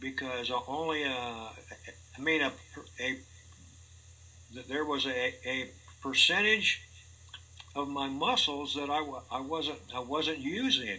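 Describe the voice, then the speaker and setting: A man with a fairly high pitch and ordinary pitch variation talks at a fairly slow pace, leaving long, frequent pauses against noticeable background noise. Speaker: polio survivor interviewee. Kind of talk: personal interview. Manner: halting.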